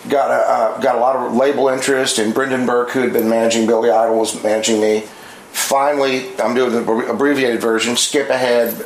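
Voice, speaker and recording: Over noticeable background noise and audible room echo, a man at medium pitch talks at a fairly quick pace in a monotone, flat delivery with very even loudness. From moved around as a military child, US and abroad. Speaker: guitar amp builder and guitar demo player. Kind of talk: casual chat. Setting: guitar shop.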